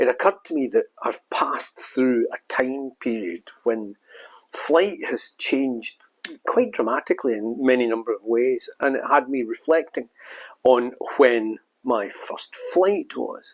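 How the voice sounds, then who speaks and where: A man talks at a fairly slow pace in a Scottish accent. The sound is dry and close, with no echo. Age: 70s. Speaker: storytelling vlogger. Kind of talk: casual storytelling monologue. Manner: reflective, with hesitations.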